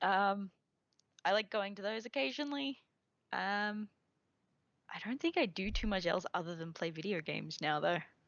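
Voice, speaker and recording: In an Australian accent, a woman speaks with lively intonation. She leaves long, frequent pauses. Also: medium pitch for a woman, moderate pace. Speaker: podcast guest, gamer. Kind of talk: casual chat.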